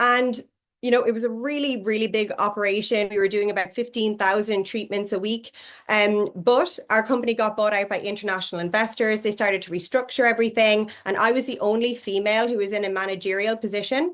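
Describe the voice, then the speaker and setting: Against a quiet background, a woman with an Irish accent talks fairly quickly at a fairly high pitch. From Ireland. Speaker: network marketing leader, former physiotherapist. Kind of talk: interview.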